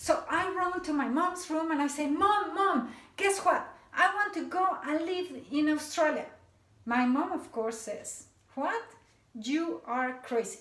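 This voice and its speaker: A woman speaks at an extremely high pitch with lively intonation. Her moderate pace carries audible room echo. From Mexico City, Mexico. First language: Spanish. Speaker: motivational speaker. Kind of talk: talk to a seminar audience.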